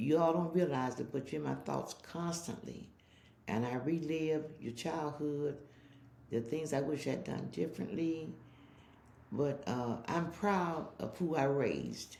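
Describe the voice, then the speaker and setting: With a dark, mellow tone and a very deep, low pitch, a woman speaks at a fairly slow pace with vocal fry and ordinary pitch variation, amid audible room echo. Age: old. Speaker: interviewee, mother. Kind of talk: casual interview.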